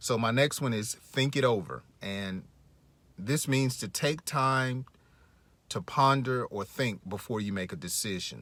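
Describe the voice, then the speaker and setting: In a normal speaking voice, a man talks at a fairly slow pace and medium pitch with ordinary pitch variation. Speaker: English teacher podcaster. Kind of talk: language lesson.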